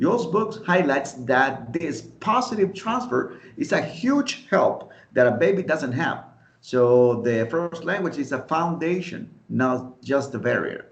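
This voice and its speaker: A man with a Spanish accent speaks at a very slow pace. His fairly high pitch swings very widely. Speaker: podcast host, English teaching student. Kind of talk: friendly scripted debate.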